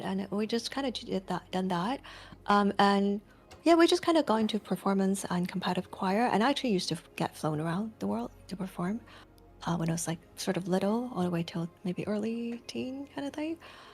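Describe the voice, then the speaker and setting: With music in the background, a woman at medium pitch talks at a fairly quick pace, her pitch swinging very widely. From Toronto, Canada. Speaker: content creator and singer. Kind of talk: casual chat. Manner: soft-spoken.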